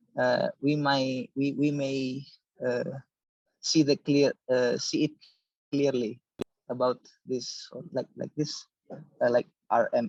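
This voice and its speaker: Speaking in an Indonesian accent, a man uses a fairly high pitch and fairly even intonation at a very slow pace. Long, frequent pauses break up his speech, and the sound is dry and close with no echo. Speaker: audience member asking questions. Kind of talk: Q&A discussion. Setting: online meeting. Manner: halting.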